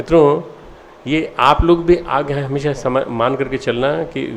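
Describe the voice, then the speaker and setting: A man talks in a fairly high register. The variation in his pitch is ordinary. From India, Madhya Pradesh. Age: 60s. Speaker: spiritual leader. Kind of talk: address to students. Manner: halting.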